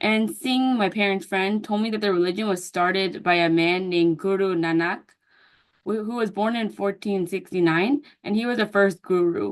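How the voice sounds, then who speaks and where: A woman with an American accent has an unremarkable speaking voice. She talks at medium pitch and a moderate pace. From US. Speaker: counseling student. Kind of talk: class presentation. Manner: casual with fillers and self-corrections.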